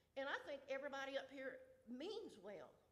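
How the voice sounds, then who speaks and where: A high-voiced woman speaks with a Southern US accent at a moderate pace. Her pitch swings very widely, and the room echo is audible. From US South, Georgia (Newton County). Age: 70s. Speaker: resident speaking at public comment. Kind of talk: public comment at a county meeting. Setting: county commission meeting.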